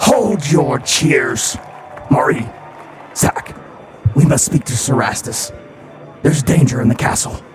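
A man uses a put-on character voice, fairly high-pitched, speaking fairly slowly with long, frequent pauses. Clear background noise runs behind him. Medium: actual play.

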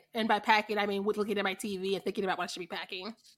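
A woman speaks very fast in a fairly high pitch with an animated tone. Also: very clean recording, silent background. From Missouri. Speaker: podcast co-host. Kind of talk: casual chat. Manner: animated, laughing often.

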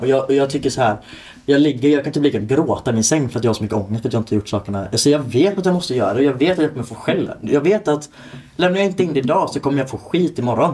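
A man talks at a very fast pace in a fairly high, somewhat breathy voice. His tone is dark and mellow, and his intonation lively. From Torslanda, Gothenburg, Sweden. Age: 20s. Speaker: podcast co-host, home care worker. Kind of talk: casual chat.

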